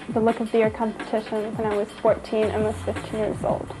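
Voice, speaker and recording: Noticeable background noise sits behind a woman speaking fairly quickly at a fairly high pitch. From Austria (Vienna). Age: young. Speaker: fashion model. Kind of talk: reality TV interview.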